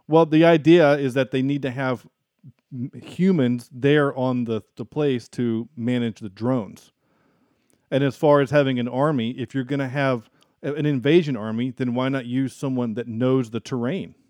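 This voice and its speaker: Against a quiet background, a man with a slight Southern US accent talks at a medium pitch and moderate pace with fairly even intonation. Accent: mild Southern US. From US South. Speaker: podcast host, film reviewer. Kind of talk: casual chat.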